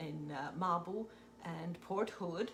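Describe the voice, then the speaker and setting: With music in the background, a woman talks very slowly at a medium pitch. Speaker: retired teacher. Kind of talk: casual chat.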